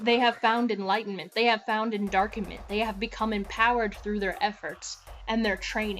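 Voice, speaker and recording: A woman with a fairly high pitch, music in the background. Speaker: religious teacher / preacher of a Sith-themed belief system. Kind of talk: sermon-style reading and commentary on a religious text, addressed to viewers.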